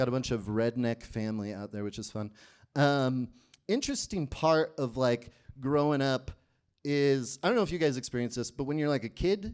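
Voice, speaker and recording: A man at medium pitch and moderate pace, an ordinary speaking voice with ordinary pitch variation. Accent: American. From rural Ohio, US Midwest. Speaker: stand-up comedian. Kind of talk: stand-up. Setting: stage with audience.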